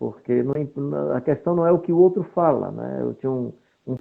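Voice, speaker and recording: A man talks at a moderate pace with lively intonation. His pitch is fairly high. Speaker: pastor. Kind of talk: interview.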